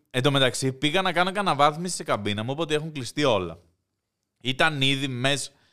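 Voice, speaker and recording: This man has a fairly high, bright, sharp voice with ordinary pitch variation. He speaks at a moderate pace in a very clean recording with a silent background. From Greece. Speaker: podcast host. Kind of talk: casual chat.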